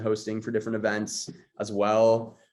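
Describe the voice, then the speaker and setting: At a moderate pace and medium pitch, a man speaks with a strong Los Angeles accent. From Los Angeles, West LA. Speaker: content creator and host. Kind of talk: podcast interview.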